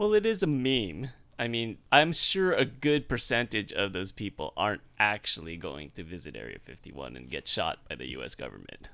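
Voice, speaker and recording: Moderate-paced speech from a man, recorded very cleanly against a silent background. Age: 30s. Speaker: podcast co-host. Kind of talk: casual chat.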